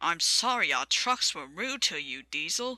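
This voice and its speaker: A growling, put-on character voice at a middle pitch, with very wide pitch swings and a moderate pace. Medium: read story. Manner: polite, dry.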